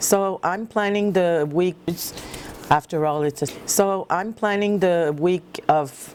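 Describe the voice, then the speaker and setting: Very slowly, a woman with a French accent speaks in a fairly low pitch. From Quebec. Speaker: planner hobbyist vlogger. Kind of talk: tutorial. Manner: halting, searching for words.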